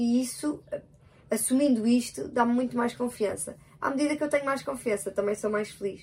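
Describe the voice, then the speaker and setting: Her tone is animated, and this woman speaks in a European Portuguese accent at a high pitch. She keeps a moderate pace with ordinary pitch variation. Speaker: podcast co-host with her partner. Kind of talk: casual chat.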